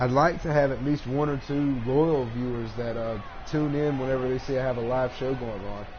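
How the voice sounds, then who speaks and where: In a Southern US accent, a man talks at medium pitch with fairly even intonation, the audio carrying audible room echo and noticeable background noise. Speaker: gaming live streamer. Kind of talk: live gameplay commentary. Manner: casual, halting with fillers.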